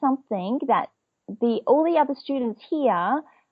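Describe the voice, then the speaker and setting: A woman with an Australian accent, lively intonation, and a moderate pace. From Australia, Perth. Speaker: business etiquette trainer. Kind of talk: interview.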